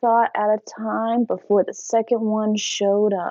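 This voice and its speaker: The speech comes at a fairly slow pace in an ordinary speaking voice. The sound is dry and close, with no echo. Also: woman. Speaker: teacher. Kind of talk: casual story time.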